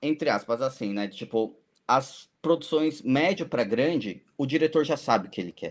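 This man has a plain, everyday voice pitched fairly high. He speaks at a moderate pace with lively intonation. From São Paulo city, Brazil. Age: 40s. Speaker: FPV drone pilot and cinematographer. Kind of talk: casual chat.

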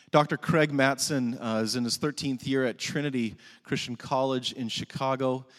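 In a normal speaking voice, a man keeps a medium pitch and fairly even intonation. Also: very clean recording, silent background. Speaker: chapel worship leader. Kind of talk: prayer. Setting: chapel with audience. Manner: formal.

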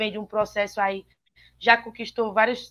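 A woman with a normal speaking voice talks at a fairly quick pace. Her pitch is fairly high. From Ceará interior, Brazil. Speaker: sports reporter. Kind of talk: sports talk show. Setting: remote call into live show.

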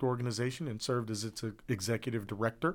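A man's unremarkable speaking voice in an American accent, fairly quick in pace, with ordinary pitch variation. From Columbus, Ohio. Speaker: school board member. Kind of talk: interview.

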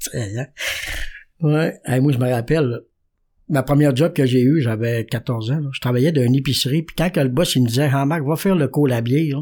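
On a very clean recording with a silent background, a man speaks at medium pitch and moderate pace in a dark, mellow tone with ordinary pitch variation. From Quebec, Saguenay–Lac-Saint-Jean (Jonquière). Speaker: recovering alcoholic sharing his story. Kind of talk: testimony.

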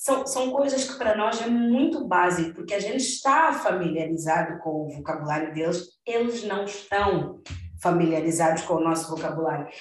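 Amid noticeable background noise and audible room echo, a woman with a fairly low pitch talks at a moderate pace with lively intonation and hardly any pauses. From Mozambique. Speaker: podcast host. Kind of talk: casual chat. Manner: halting.

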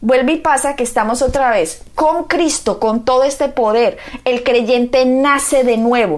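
A woman's high-pitched, warm, solemn voice at a fairly slow pace with ordinary pitch variation, against noticeable background noise. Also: very even loudness. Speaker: pastor. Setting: radio or TV program. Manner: earnest, fervent, solemn, declamatory; warm, emphatic, pastoral.

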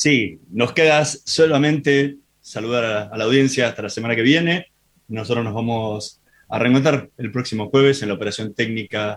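In an ordinary speaking voice, a man talks at medium pitch and a moderate pace with ordinary pitch variation. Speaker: radio host. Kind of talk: radio interview.

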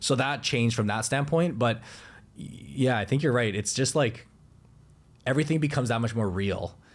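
A man at a medium pitch and moderate pace, with ordinary pitch variation, very even loudness and long, frequent pauses. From Canada. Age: 20s. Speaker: investing YouTuber and former financial advisor. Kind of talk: casual chat.

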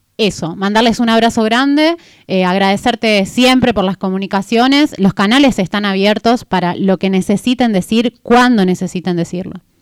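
A woman with a Catamarca Argentine accent speaks at a medium pitch and a moderate pace, with hardly any pauses. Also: ordinary pitch variation, very clean recording, silent background. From Catamarca, Argentina. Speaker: radio co-host. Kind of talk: casual radio chat.

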